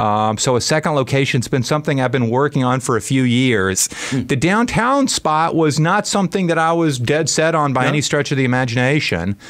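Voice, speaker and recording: A man at medium pitch talks at a fairly quick pace with hardly any pauses and lively intonation. Noticeable background noise is present. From US South, Birmingham, Alabama. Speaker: restaurant owner. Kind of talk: radio interview. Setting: radio studio.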